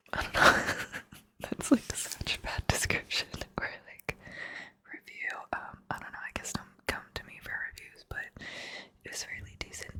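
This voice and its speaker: Relaxed whispering at a moderate pace, broken by long, frequent pauses, over noticeable background noise. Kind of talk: whispered ASMR ramble about books, casual talk to camera. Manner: whispered, soft, relaxed, rambling.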